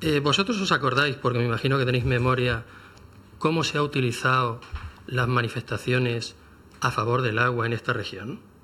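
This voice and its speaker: A man of medium pitch speaks fairly quickly in a bright, sharp tone with ordinary pitch variation. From Murcia region, Spain. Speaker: television journalist. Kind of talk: radio panel discussion. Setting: radio studio.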